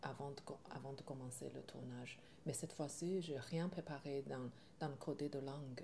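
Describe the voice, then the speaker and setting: Speaking at a fairly slow pace, a woman has a very deep, low voice with a dark, mellow tone and fairly even intonation. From China. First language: Chinese (speaking French). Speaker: film director. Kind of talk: interview. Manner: halting, with many hesitations.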